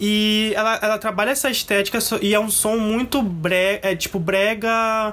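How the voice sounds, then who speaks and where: A man with a high voice talks at a moderate pace, his loudness very even and his intonation fairly even. Noticeable background noise runs underneath. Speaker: podcast co-host. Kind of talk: casual chat.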